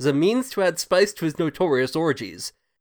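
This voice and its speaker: A man talks at a fairly quick pace and high pitch, with an amused tone and lively intonation. The sound is dry and close, with no echo. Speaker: podcast host. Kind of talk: casual chat; reads passage aloud around 13:58 in a dry, bookish tone. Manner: laughs while reading, amused, lightly formal.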